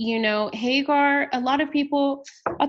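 A woman with an American accent speaks in an ordinary speaking voice at a moderate pace, with ordinary pitch variation. The background is quiet. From Texas, San Antonio. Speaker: worship leader and nonprofit founder. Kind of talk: interview.

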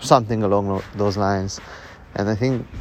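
Against noticeable background noise, a man speaks at a moderate pace and fairly low pitch with monotone, flat intonation. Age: 30s. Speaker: podcast host and entrepreneur. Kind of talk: casual solo monologue. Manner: casual, with filler words.

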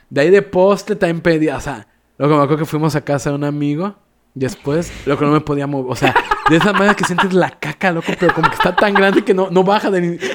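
Pitched high, a man rattles along at a very fast pace with a Mexican accent. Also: ordinary pitch variation. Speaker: podcast co-host. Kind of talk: casual chat.

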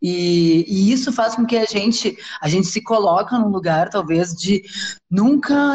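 A woman's moderately paced speech comes out somewhat breathy. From southern Brazil, Porto Alegre. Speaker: cultural branding agency co-founder. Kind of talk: casual interview. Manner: halting, many fillers.

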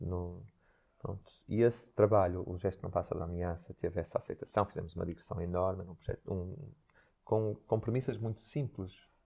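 Over a quiet background, a man speaks with a very deep, low pitch and a dark, mellow tone. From northern Portugal, Santo Tirso. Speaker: dancer and choreographer. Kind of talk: interview. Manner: halting.

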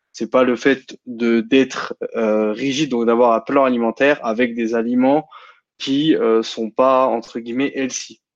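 At a very slow pace, a man talks at a medium pitch in a monotone, flat intonation. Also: dry, close sound with no echo. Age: 20s. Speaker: bodybuilding and nutrition enthusiast. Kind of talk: casual chat. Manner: halting.

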